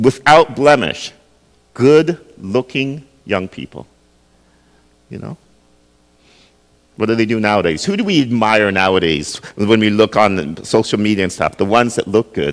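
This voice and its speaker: A man's fairly low voice with lively intonation, a fairly slow pace and long, frequent pauses. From Jamaica, raised in Canada from early childhood. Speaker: pastor. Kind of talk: sermon. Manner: conversational, asks the audience questions.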